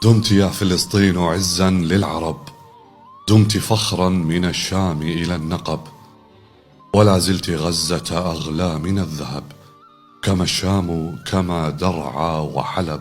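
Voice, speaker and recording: Over music in the background, a man talks at a very slow pace in a very deep, low pitch with fairly even intonation. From Kuwait. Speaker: broadcaster. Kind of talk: poetry reading.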